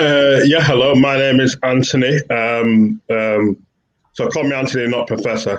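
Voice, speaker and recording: A man with a Yorkshire accent, medium in pitch, with ordinary pitch variation. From northern England, Bradford, West Yorkshire. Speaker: professor. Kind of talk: panel discussion.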